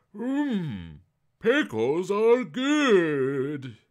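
Over a quiet background, a man uses a put-on character voice, high in pitch with very wide pitch swings. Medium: read story.

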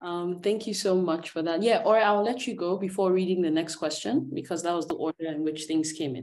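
Talking at a fairly quick pace with hardly any pauses, a woman holds a fairly low pitch with ordinary pitch variation. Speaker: moderator. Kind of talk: moderating Q&A. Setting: video call. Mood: calm, thoughtful. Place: home room. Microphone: video call.

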